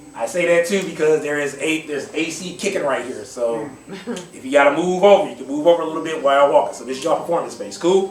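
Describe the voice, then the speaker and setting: This man talks at a very fast pace in a fairly high voice, with ordinary pitch variation, big swings in loudness and noticeable background noise. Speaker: poetry slam host. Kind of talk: live event hosting, casual talk to audience. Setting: live audience in a room. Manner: upbeat, hype.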